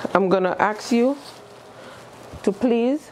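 At a very slow pace, a woman speaks with ordinary pitch variation over light background noise. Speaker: caregiver instructor. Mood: calm, reassuring. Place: classroom.

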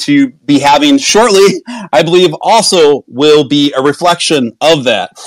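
A man speaks at a fairly slow pace in a fairly high pitch, with ordinary pitch variation, very even loudness, and a dry, close sound with no echo. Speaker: crypto project host. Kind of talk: live online audio room discussion. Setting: online audio room. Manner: animated; excitable.

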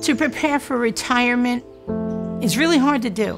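Clear music plays in the background behind a voice with a New York accent. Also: woman. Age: 60s. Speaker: small business owner. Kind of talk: interview answer. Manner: feisty. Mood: warm, candid, upbeat.

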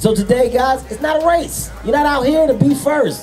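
Loud music in the background behind a man speaking at a moderate pace. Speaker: event host addressing runners. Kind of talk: motivational speech to crowd. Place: street. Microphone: handheld.

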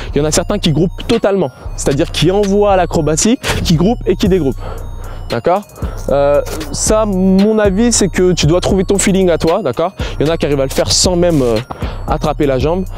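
Faint music plays in the background as a man speaks at a moderate pace in a high pitch, with ordinary pitch variation and a dry sound with no echo. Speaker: acrobatics coach. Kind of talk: tutorial. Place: open country.

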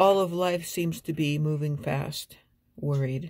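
A woman speaks quietly. Her pace is fairly slow. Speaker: vlogger and amateur poet. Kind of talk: poetry reading, reflective and personal. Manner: slow, contemplative and measured, with a hushed, wistful cadence. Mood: quiet, reflective. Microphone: phone near.

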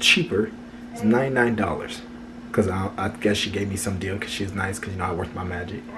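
A man speaks at a moderate pace against noticeable background noise. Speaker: vlogger. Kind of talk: casual vlog chat. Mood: upbeat, pleased. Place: home room. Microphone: phone near.

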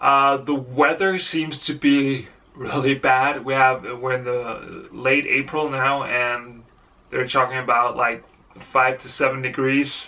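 Very slow, monotone delivery with flat intonation. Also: man. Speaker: amateur cyclist vlogger. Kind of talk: casual vlog chat. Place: home room. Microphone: phone near.

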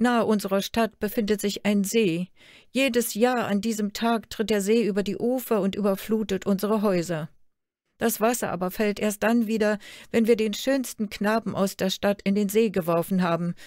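Recorded very cleanly against a silent background, a normal speaking voice moves at a moderate pace with fairly even intonation. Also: woman, medium pitch for a woman. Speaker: storyteller reading a fairy tale aloud. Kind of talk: fairy tale telling. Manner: storytelling narration, measured and expressive.

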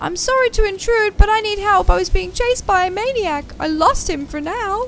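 In a put-on character voice, a woman squeaks at an extremely high pitch and a moderate pace over clear background noise. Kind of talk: reading game dialogue aloud.

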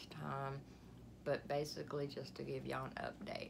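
The speaker has an Alabama accent and a moderate pace. Noticeable background noise runs underneath. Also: woman. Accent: Southern US (Alabama). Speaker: vlogger. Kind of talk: casual vlog monologue. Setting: home, sitting on bed. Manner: rambling, lots of fillers. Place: home room. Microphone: phone near.

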